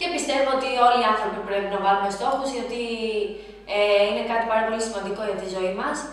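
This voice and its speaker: Noticeable background noise and audible room echo surround a fairly quick voice with ordinary pitch variation. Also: woman, fairly high pitch for a woman. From Greece (Athens). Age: 20s. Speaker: lifestyle vlogger. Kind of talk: casual Q&A vlog. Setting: at home, baby asleep nearby. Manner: trying to speak quietly. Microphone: camera far away, may be quiet.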